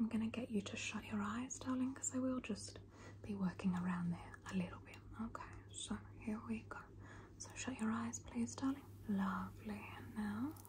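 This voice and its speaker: Moderate-paced speech from a woman over noticeable background noise. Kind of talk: soft-spoken roleplay narration. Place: home room. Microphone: phone near.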